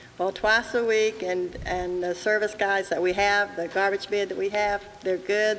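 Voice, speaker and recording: Over noticeable background noise, a woman speaks at a moderate pace and medium pitch. Her intonation stays fairly even. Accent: American. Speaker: resident. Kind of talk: public comment. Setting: public meeting with audience. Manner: loud.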